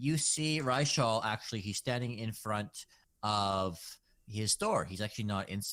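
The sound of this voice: An unforced voice for reading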